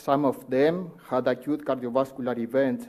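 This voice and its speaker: A man's monotone, flat voice with a Uruguayan accent. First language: Spanish. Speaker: cardiologist. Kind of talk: conference talk. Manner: formal; halting.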